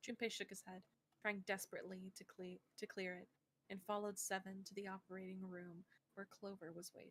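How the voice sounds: Here a natural reading voice is heard.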